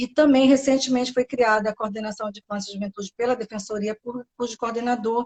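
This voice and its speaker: With a Bahian accent, a woman speaks in a fairly high, somewhat breathy voice that stays flat and monotone. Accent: Bahian accent, noticeable. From Brazil, Bahia. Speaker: public defender. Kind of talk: interview. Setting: live stream.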